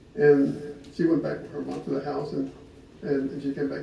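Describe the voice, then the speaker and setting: A man talks at a fairly quick pace, his voice carrying audible room echo over noticeable background noise. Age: 60s. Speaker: husband speaking at his wedding anniversary. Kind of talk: personal storytelling to gathered guests.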